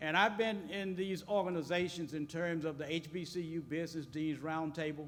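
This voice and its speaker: A man's high-pitched voice at a moderate pace, with fairly even intonation, over noticeable background noise. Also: hardly any pauses. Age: 70s. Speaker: business school dean. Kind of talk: panel speech.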